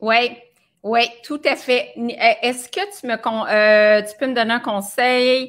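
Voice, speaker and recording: Against a quiet background, a woman with a Quebec accent speaks at a very slow pace in a high pitch, with ordinary pitch variation, big swings in loudness, and long, frequent pauses. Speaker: nutritionist hosting a live video. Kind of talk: casual live stream chat. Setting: live video broadcast. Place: home room.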